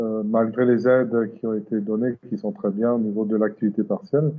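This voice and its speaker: A man's normal speaking voice at medium pitch, with fairly even intonation and a moderate pace. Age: 60s. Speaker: company president, automotive supplier. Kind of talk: interview. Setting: video call.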